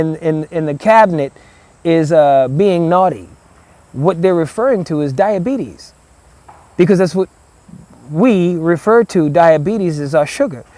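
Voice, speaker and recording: A man with a Southern US accent speaks in a high pitch for a man. His tone is dark and mellow, with ordinary pitch variation. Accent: Gullah Geechee, Southern US. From South Carolina Lowcountry. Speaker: Gullah language teacher. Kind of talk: interview answer.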